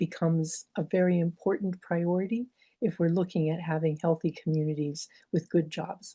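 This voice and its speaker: Her fairly low pitch and dark, mellow tone come across somewhat breathy as this woman speaks at a moderate pace with fairly even intonation, in a dry, close sound with no echo. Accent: American. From Pittsburgh, Pennsylvania. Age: 70s. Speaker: doctor and health advocate. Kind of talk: webinar presentation with slides.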